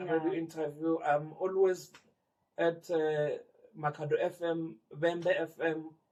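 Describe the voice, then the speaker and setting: A man with a Limpopo accent speaks at a very slow pace in a high pitch, his intonation monotone and flat. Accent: South African (Limpopo). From Limpopo, South Africa. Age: 40s. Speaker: community sports organiser. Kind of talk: interview answer.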